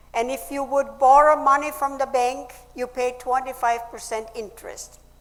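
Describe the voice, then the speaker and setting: Noticeable background noise accompanies a woman who speaks at a moderate pace with a high pitch and fairly even intonation. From Austria. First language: German. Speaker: speaker, Nazi-era survivor. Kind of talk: public speech.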